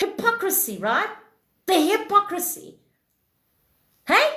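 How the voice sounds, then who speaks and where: The voice is raised and projected. Audible room echo surrounds it. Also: woman. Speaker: livestream self-improvement host. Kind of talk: casual livestream chat. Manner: loud.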